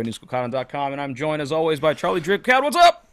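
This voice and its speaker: Delivered at a very fast pace with ordinary pitch variation, the speech is dry and close with no echo, on a very clean recording with a silent background. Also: man. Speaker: podcast host. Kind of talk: casual chat.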